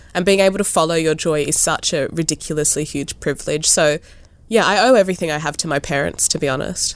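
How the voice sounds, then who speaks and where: With an Australian accent, a woman talks at a very fast pace, her fairly low voice showing ordinary pitch variation. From Australia, New South Wales South Coast. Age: 30s. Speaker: visual artist. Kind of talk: interview.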